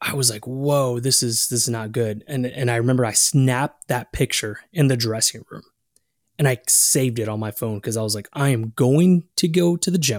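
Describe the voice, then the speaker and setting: In an unremarkable speaking voice, a man with an American accent talks at a moderate pace and medium pitch with ordinary variation, in a dry, close sound with no echo. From Texas. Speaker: health coach and keto influencer. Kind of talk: interview.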